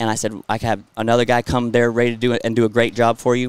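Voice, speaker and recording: A man with a Southern US accent and medium pitch, in a very clean recording with a silent background. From Florida, US. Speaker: rodeo clown and entertainer. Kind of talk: casual interview chat. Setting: outdoors at a bull riding event. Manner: halting, repeats words.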